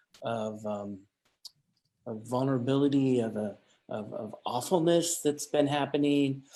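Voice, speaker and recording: Speaking at a fairly slow pace with long, frequent pauses, a man has a dark, mellow tone, a medium pitch and ordinary pitch variation. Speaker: curator. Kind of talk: casual chat. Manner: halting, repeating words.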